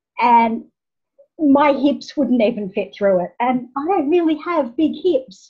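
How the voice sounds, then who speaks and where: A woman with an Australian accent speaks very slowly at a high pitch with lively intonation, against a quiet background. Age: 50s. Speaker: nonprofit founder. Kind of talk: interview. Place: home room. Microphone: video call.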